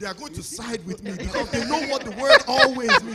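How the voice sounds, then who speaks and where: A man speaks in a raised, projected voice against noticeable background noise. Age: young. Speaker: husband sharing about marriage. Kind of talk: casual chat.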